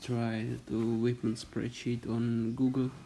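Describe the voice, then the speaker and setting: A man with a non-native accent speaks in a dark, mellow tone at medium pitch. His pace is very slow and his intonation monotone and flat. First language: not English. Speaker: gaming youtuber. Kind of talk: game tutorial. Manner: halting.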